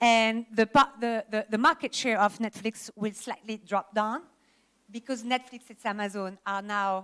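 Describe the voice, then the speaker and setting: A woman with a French accent, fairly high-pitched, at a fairly slow pace with fairly even intonation. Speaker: industry presenter at a film summit. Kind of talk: conference presentation.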